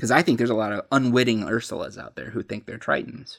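In a very clean recording with a silent background, a man with an ordinary speaking voice talks at a medium pitch with fairly even intonation. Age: 30s. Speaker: post-evangelical pastor, podcast co-host. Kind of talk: casual chat. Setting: home recording with drinks.

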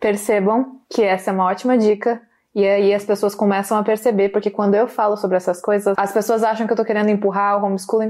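With a dark, mellow tone and medium pitch, a woman talks at a very fast pace using fairly even intonation. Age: 20s. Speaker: podcast host, political commentator. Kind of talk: casual interview. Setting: in person, studio.

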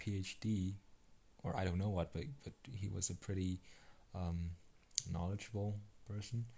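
A man speaks at a very slow pace in a fairly low pitch, his tone dark and mellow. His intonation stays fairly even, and the voice is somewhat breathy. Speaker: solo podcaster. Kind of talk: unscripted monologue. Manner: hesitant, halting.

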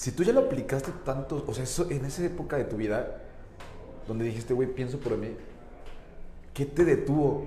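A man's fairly high voice at a moderate pace, with ordinary pitch variation, long and frequent pauses, audible room echo and noticeable background noise. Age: 20s. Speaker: interview podcast host. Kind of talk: casual interview chat.

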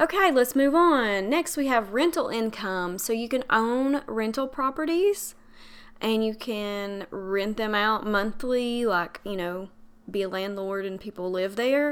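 A woman speaks with a fairly high pitch and lively intonation. The recording is very clean, with a silent background. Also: fairly slow pace. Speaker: podcast host and money coach. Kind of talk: solo podcast monologue.

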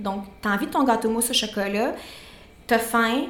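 A woman talks at a fairly quick pace. Noticeable background noise and audible room echo surround her. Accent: Quebec. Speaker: nutritionist and podcast co-host. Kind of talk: casual chat.

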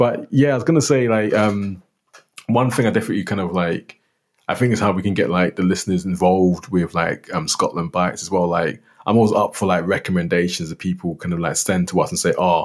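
In a London accent, a man with a very deep, low pitch talks at a very fast pace with ordinary pitch variation. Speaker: podcast co-host. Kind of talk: casual chat.

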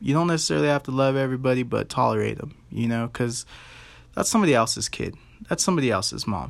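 An American accent marks this man's medium-pitched voice, delivered very fast with lively intonation. The recording is very clean, the background silent. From Colorado, US. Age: 30s. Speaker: podcast host. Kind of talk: casual monologue. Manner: animated.

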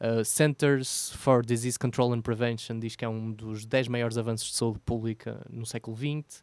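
Delivered at a moderate pace with a European Portuguese accent, the voice sounds dry and close with no echo, in a very clean recording with a silent background. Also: man. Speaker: podcast co-host. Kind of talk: casual chat.

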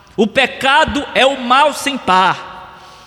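A man's raised, projected voice with a Brazilian accent, extremely high in pitch, solemn in tone, with ordinary pitch variation, against noticeable background noise. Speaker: pastor. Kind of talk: sermon. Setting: church. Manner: earnest, solemn preacher's delivery, hammering key phrases with repetition; formal, expository and didactic.

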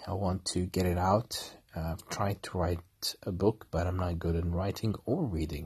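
Against a quiet background, a man with a very deep, low pitch and a somewhat breathy voice speaks at a fairly slow pace. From Kuwait. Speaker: podcaster, former marine officer. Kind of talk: personal monologue. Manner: halting.

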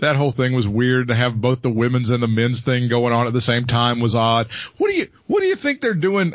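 A man's somewhat breathy voice at a medium pitch, very fast and with hardly any pauses, very even in loudness and ordinary in pitch variation. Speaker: wrestling podcast host. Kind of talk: casual comedic banter.

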